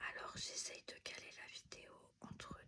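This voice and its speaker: Someone is whispering. The pace is very slow. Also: woman. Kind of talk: ASMR unboxing, whispered product talk. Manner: whispered; calm, relaxed.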